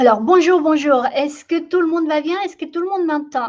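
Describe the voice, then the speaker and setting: A woman speaks with a Latin American Spanish accent. Her pitch varies in an ordinary way. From Ecuador. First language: Spanish (speaking French). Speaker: company founder and trainer. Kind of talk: live online masterclass. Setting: live video webinar. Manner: hesitant, many filler sounds.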